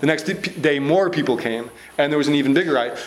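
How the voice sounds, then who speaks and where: A man's fairly high voice at a fairly quick pace, ordinary pitch variation, audible room echo and noticeable background noise. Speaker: author and speaker on anarchism. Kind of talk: lecture. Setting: stage with audience. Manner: speeds up when excited.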